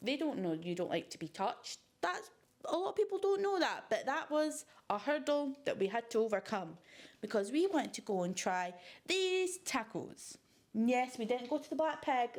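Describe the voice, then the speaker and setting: A woman with a Scottish accent, high-pitched and animated, with very wide pitch swings at a moderate pace, in a very clean recording with a silent background. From Scotland, Fife coast. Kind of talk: casual vlog chat.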